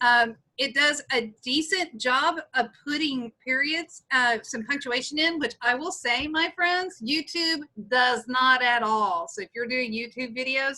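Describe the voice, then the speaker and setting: A woman with a Texas accent raises and projects her high voice, which has a bright, sharp tone. She speaks at a fairly slow pace with lively intonation. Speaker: instructional technology trainer; teacher. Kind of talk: tutorial. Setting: video call. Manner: casual, with many fillers. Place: home room. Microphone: webcam.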